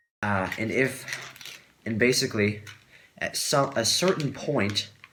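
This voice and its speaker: Noticeable background noise surrounds a man speaking at a very slow pace. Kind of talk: casual science explanation to camera. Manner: stuttering, hesitant.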